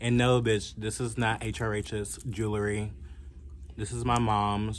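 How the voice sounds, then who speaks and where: A man with vocal fry at a fairly slow pace, with light background noise. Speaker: fashion vlogger. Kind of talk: casual vlog chat. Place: home room. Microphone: phone near.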